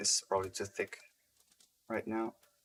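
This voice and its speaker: Quiet, monotone, flat speech from a man. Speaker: game level designer streaming. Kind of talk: live-stream tutorial commentary. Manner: halting, repeats words.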